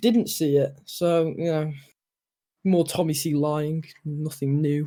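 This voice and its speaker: A man's dark, mellow voice carries a British accent. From UK. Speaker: stream guest. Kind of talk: casual chat.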